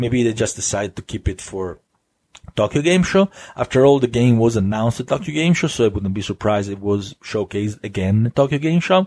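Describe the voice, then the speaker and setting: Using a medium pitch and an Italian accent, a man talks at a fairly quick pace with lively intonation. The recording is very clean with a silent background and a dry, close sound with no echo. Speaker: gaming podcast host. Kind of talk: solo podcast monologue. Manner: hesitant, many fillers and restarts.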